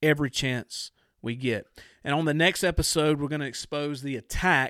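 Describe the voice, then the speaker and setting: A man with an ordinary speaking voice talks at a moderate pace, his pitch fairly high. The sound is dry and close with no echo, on a very clean recording with a silent background. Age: 40s. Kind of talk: biblical teaching monologue.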